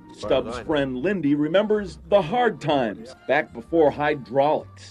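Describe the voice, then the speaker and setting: Music plays in the background as a man talks at a fairly slow pace. His fairly high voice makes very wide pitch swings. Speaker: TV feature reporter. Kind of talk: TV news feature narration.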